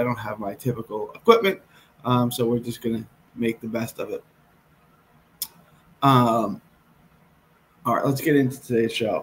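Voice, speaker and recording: With long, frequent pauses, a man speaks at a moderate pace in a somewhat breathy voice with fairly even intonation. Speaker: boxing betting show host. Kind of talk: commentary. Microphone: earbuds.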